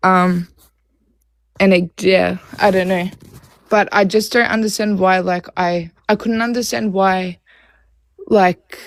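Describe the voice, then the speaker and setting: The sound is dry and close with no echo. A woman speaks at a very slow pace with fairly even intonation and long, frequent pauses. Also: medium pitch for a woman. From Australia. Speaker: caller seeking relationship advice. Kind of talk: live call-in advice chat. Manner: hesitant, many fillers.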